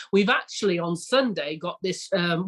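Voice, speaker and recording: A woman with an English accent, fairly low in pitch and enthusiastic in tone, in a dry, close sound with no echo. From England. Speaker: retreat village founder. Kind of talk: podcast interview.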